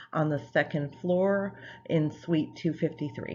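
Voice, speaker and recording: Speaking at a fairly slow pace, a woman with a fairly low pitch and ordinary pitch variation has an unremarkable speaking voice. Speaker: nursing professor. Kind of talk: lecture. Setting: recorded online course video.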